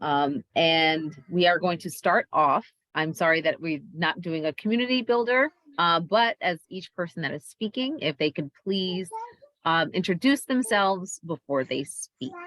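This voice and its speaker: In a dry, close sound with no echo, a woman with an unremarkable speaking voice talks at a fairly slow pace and fairly low pitch, her intonation lively. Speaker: PTA meeting chair. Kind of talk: meeting facilitation.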